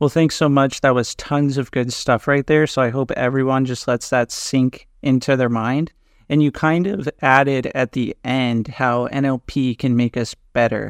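Over a quiet background, a man with a normal speaking voice and medium pitch talks at a moderate pace with fairly even intonation, the sound dry and close with no echo. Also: hardly any pauses. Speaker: podcast host and NLP trainer. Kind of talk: podcast interview.

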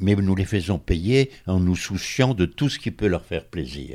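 The voice has a dark, mellow tone and lively intonation, delivered at a fairly slow pace. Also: man. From France, Port-Cros island. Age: 90s. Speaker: hotel owner. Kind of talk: interview. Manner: halting.

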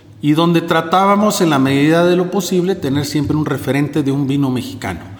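With audible room echo and noticeable background noise, a man talks with ordinary pitch variation. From northern Mexico (Monclova, Coahuila). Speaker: winemaker. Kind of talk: interview.

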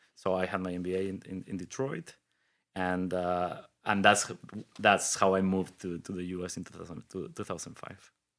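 In a Spanish accent, a man with a very deep, low pitch talks at a moderate pace on a very clean recording with a silent background. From Mexico City, Mexico. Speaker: innovation hub leader and engineer. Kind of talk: interview conversation. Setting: studio. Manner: energetic.

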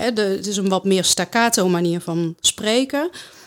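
A woman with a normal speaking voice talks at a fairly slow pace, her medium pitch showing ordinary variation, on a very clean recording with a silent background. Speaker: speech therapist and author. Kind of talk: interview.

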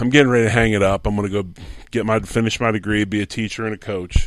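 Fairly quick and fairly low in pitch, a man with a plain, everyday voice and an American accent talks on a very clean recording with a silent background. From Pottstown, Pennsylvania, near Philadelphia. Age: 50s. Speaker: former pro football player and coach. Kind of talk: interview, casual storytelling. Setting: at his home.

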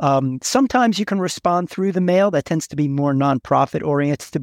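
A man's unremarkable speaking voice with an American accent, at a moderate pace and with ordinary pitch variation, in a dry, close sound without echo. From New York. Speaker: direct mail agency executive. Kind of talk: interview.

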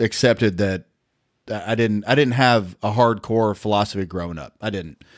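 A man with a Southern US accent at a moderate pace, on a very clean recording with a silent background. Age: 50s. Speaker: regular co-host. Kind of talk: casual chat.

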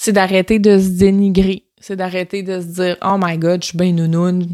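On a very clean recording with a silent background, a woman with a Quebec accent speaks at a medium pitch and fairly slow pace in an animated tone. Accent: Québécois French. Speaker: podcast host, personal development coach. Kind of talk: solo podcast monologue.

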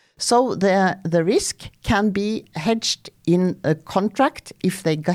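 A woman with a dark, mellow tone speaks with ordinary pitch variation. The recording is very clean, with a silent background. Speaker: energy market executive. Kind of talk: interview. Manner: hesitant, many fillers.

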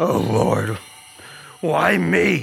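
Over clear music in the background, a man talks with very wide pitch swings. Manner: despairing, pleading.

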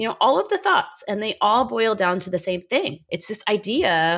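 In a normal speaking voice, a woman talks at a medium pitch with lively intonation. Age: 40s. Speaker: psychiatrist and life coach podcast host. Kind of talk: solo podcast monologue. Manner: casual, conversational.

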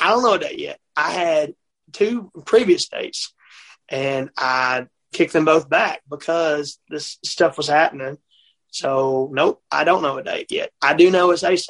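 A man with a Mississippi accent speaks at a high pitch and a fairly slow pace, with ordinary pitch variation. The sound is dry and close, with no echo. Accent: Southern US (Mississippi). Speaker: country singer-songwriter. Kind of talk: casual chat. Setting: on the road.

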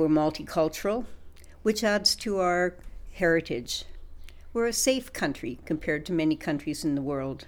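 Over a very clean recording and silent background, a woman speaks at a moderate pace in a plain, everyday voice, fairly low in pitch with lively intonation. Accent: Canadian. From Canada. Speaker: podcast co-host. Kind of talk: casual chat.

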